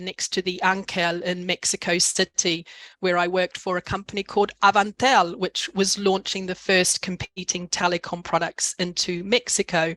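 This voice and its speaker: In a New Zealand accent, a woman speaks at medium pitch and a moderate pace. The sound is dry and close, with no echo. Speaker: executive coach. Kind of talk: webinar presentation.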